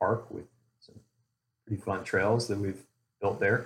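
A man's fairly low, somewhat breathy voice with monotone, flat intonation. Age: 40s. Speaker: mountain biker, show member. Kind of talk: casual chat.

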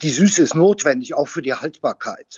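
This man speaks with ordinary pitch variation. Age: 60s. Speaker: winemaker. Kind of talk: interview conversation. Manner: hesitant, many fillers.

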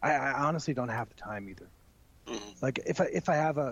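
Here a man has an American accent. He talks at a very fast pace. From Texas, El Paso. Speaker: wrestling broadcaster. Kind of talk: casual interview. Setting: remote call.

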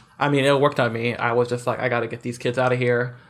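An unremarkable speaking voice from a man, medium in pitch and fairly even in intonation. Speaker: podcast guest discussing video games. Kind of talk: casual chat. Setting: video call.

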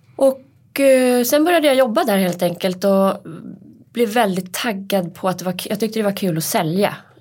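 A woman in an ordinary speaking voice keeps a medium pitch, lively intonation and a moderate pace. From Hälsingland, Sweden. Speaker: podcast co-host, press officer. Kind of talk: casual chat. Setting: studio.

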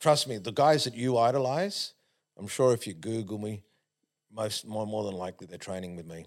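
Big swings in loudness mark this man's fairly low-pitched voice, with ordinary pitch variation. He keeps a moderate pace, on a very clean recording with a silent background. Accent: Australian. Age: 50s. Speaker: sprint coach. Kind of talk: casual chat. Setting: studio.

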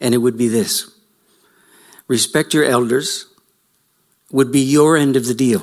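Speaking at a fairly slow pace, a man leaves long, frequent pauses. His medium-pitched voice shows ordinary pitch variation and very even loudness. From Canada. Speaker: lecturer, writer and farmer. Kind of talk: lecture. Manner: reflective, storytelling.

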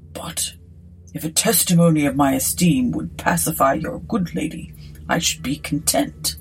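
A woman's breathy, put-on character voice at a very deep, low pitch. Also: moderate pace. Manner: cool, genteel, airy.

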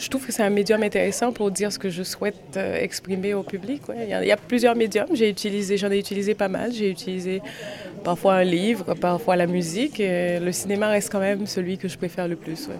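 Fairly quick speech from a woman, with noticeable background noise. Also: medium pitch for a woman, ordinary pitch variation. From Haiti, Port-au-Prince. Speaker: actress and film director. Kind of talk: interview. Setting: outside a cinema after a screening.

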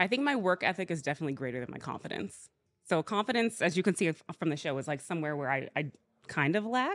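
A woman's fairly low voice at a very fast pace, with very wide pitch swings, in a very clean recording with a silent background. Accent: American. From US South, Georgia. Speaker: reality competition contestant. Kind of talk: casual interview.

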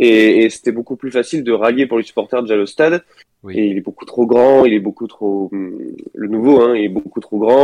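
A man speaks at a moderate pace and medium pitch with ordinary pitch variation. His tone is dark and mellow, and the sound is dry and close with no echo. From Bordeaux, France. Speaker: podcast team member. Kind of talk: casual chat. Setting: remote call.

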